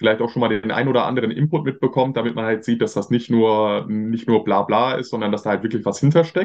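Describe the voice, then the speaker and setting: A man with a medium-pitched voice talks very fast. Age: 20s. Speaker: marketing agency owner. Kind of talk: interview.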